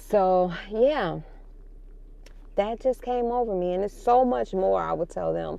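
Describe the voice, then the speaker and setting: With a slight Chicago accent, a woman talks at a fairly slow pace with long, frequent pauses. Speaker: parenting vlogger. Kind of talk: casual vlog monologue. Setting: in a car.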